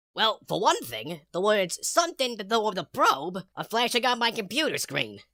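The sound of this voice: Doing a cartoonish character voice, a man speaks at a high pitch with very wide pitch swings, a moderate pace and hardly any pauses, in a dry, close sound with no echo.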